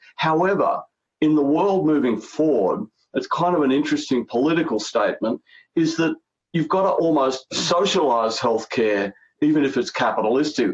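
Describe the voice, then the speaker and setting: At a moderate pace, a man with a fairly high pitch keeps his loudness very even. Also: lively intonation. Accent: Australian. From Australia. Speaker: healthcare strategy consultant. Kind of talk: interview.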